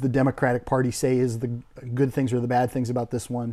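With an American accent, the speaker has a dark, mellow tone. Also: man. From US Midwest (northern Minnesota). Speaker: winery owner. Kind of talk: interview.

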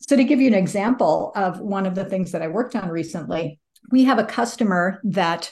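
A woman speaks with an American accent at a medium pitch. Her voice is somewhat breathy, with lively intonation. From US Midwest, northwest Iowa. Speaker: sustainability manager. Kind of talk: interview.

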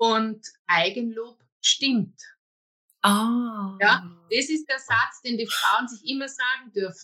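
Speaking at a very slow pace, a woman has a fairly high pitch, a bright, sharp tone, and ordinary pitch variation. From Austria, Waldviertel (Lower Austria). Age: 50s. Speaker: personal development coach. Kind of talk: interview, personal story.

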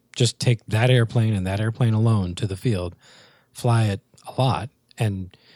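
Recorded very cleanly against a silent background, with a dry, close sound and no echo, a man speaks at a moderate pace in a fairly low, dark, mellow voice that is somewhat breathy and has ordinary pitch variation. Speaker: podcast co-host, rc airplane hobbyist. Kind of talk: casual chat. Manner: soft-spoken at times.

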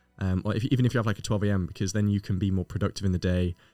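A man's fairly low voice with fairly even intonation, dry and close with no echo, over music in the background. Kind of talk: casual podcast chat.

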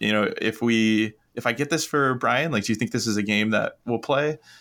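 This man has an ordinary speaking voice at medium pitch. He talks at a moderate pace. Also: very clean recording, silent background. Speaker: podcast panelist. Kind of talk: casual chat.

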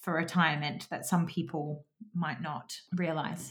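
A woman with a British accent speaks at a fairly low pitch, her intonation fairly even. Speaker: podcast host and financial advisor. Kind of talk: casual chat.

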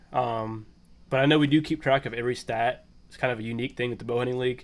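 This man has a medium-pitched voice with a western Pennsylvania accent. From Pennsylvania, small town. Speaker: bow hunting contest moderator, forester. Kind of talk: casual chat.

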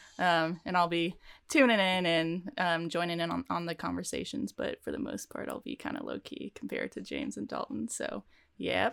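In a very clean recording with a silent background, a woman with an American accent speaks at a moderate pace. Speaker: podcast co-host, former college volleyball player. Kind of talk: casual chat.

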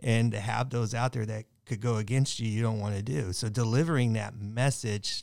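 On a very clean recording with a silent background, a man with an ordinary speaking voice talks at a fairly quick pace, medium pitch and fairly even intonation. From Southern California, Long Beach. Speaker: firefighter union president. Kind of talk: casual roundtable discussion.

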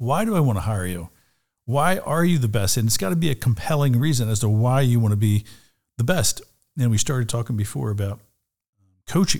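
A man's somewhat breathy, medium-pitched voice with an American accent, at a fairly quick pace with long, frequent pauses, on a very clean recording with a silent background. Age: 60s. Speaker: real estate broker. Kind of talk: interview. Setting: studio.

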